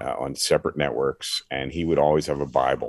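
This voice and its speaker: A man speaks with vocal fry at a moderate pace. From Philadelphia area, US. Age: 60s. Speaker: former sports radio host, now pastor. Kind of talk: testimony.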